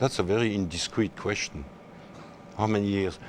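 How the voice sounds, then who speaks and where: This man has a French accent. His voice is fairly low, with ordinary pitch variation. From France, Alsace. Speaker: endurance horse rider. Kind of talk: interview. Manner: halting.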